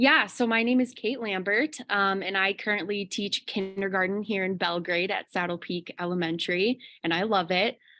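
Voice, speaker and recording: A woman with a slight Chicago accent and a bright, sharp tone speaks with hardly any pauses in a very clean recording with a silent background. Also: medium pitch for a woman, ordinary pitch variation, moderate pace. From Chicago suburbs, Illinois, US. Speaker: kindergarten teacher. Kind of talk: interview.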